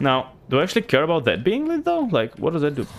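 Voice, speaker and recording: At a very fast pace, a man talks with a slight Bulgarian accent. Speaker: gaming streamer. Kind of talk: live gameplay commentary. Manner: casual, filler-heavy.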